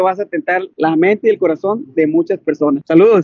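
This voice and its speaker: This man's intonation is lively and his delivery fairly quick. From Mexico, Sinaloa. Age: 30s. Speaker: network marketing presenter. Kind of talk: promotional introduction. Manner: animated.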